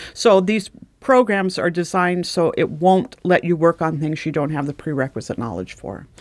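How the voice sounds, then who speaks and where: On a very clean recording with a silent background, a woman with a fairly low pitch and vocal fry speaks at a moderate pace with lively intonation. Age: 60s. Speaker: retired mortuary director. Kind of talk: casual chat.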